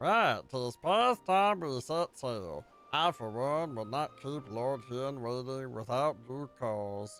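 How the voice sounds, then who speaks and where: Faint music plays behind a man in a put-on character voice at medium pitch. He speaks very slowly, with lively intonation. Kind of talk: archaic, formal. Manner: silly, theatrical.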